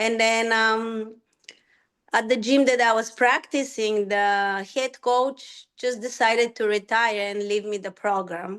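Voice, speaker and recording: Against a quiet background, a woman with a Bulgarian accent speaks very slowly, her fairly high pitch held in fairly even intonation. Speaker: rhythmic gymnastics coach. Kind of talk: personal story talk.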